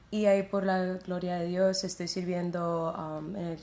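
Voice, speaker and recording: Her medium-pitched voice stays monotone and flat at a fairly slow pace. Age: 20s. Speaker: church worship singer. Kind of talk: testimony interview.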